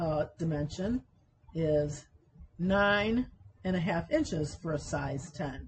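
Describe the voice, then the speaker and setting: Her voice is somewhat breathy and fairly low for a woman, with ordinary pitch variation. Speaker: university sewing instructor. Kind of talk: tutorial. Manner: deliberately slowed pace.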